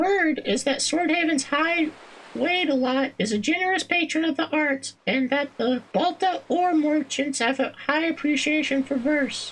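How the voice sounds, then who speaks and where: A put-on character voice, high-pitched, soft-spoken and sing-song. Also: moderate pace. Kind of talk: performer voicing game dialogue. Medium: game stream. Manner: winsome, coquettish.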